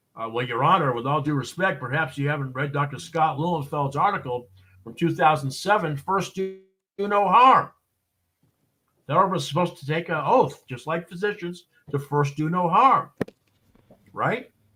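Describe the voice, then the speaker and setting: A man with a Boston accent has a bright, sharp tone and fairly high pitch. His intonation is lively, his pace moderate, with long, frequent pauses. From Boston, US. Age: 60s. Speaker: expert witness and consultant. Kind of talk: interview on a live show. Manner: many fillers and repetitions, halting.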